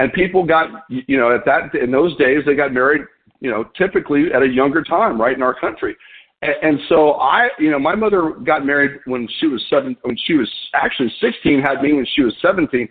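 In an ordinary speaking voice, a man talks at a moderate pace, his fairly high pitch rising and falling with lively intonation. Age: 50s. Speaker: business leader hosting a weekly conference call. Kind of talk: unscripted motivational business talk. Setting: phone conference call.

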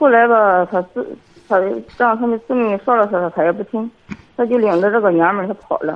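Talking at a fairly quick pace, a woman uses an ordinary speaking voice that sits fairly high, with ordinary pitch variation. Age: 50s. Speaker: kindergarten teacher, caller. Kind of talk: call-in advice conversation. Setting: phone call.

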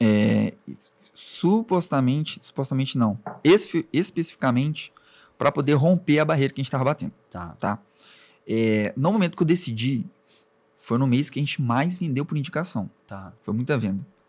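An ordinary speaking voice at a moderate pace, with lively intonation. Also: man, fairly high pitch for a man. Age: 20s. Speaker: web agency owner. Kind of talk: interview.

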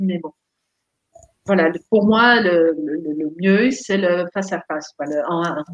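Her intonation lively, a woman speaks. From Netherlands. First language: Dutch (speaking French). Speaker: therapist and life coach. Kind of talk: casual interview.

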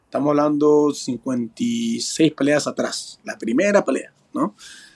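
A normal speaking voice with lively intonation, in a dry, close sound with no echo. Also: man. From Peru, moved to California at 10. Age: 40s. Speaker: professional bare-knuckle boxer. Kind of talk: interview.

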